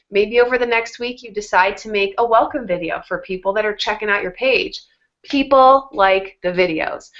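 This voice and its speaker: It is an ordinary speaking voice. The pace is moderate. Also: woman. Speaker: fitness coach. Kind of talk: tutorial.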